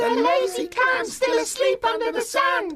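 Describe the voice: A squeaky, cartoonish character voice speaks at a moderate pace over loud background noise.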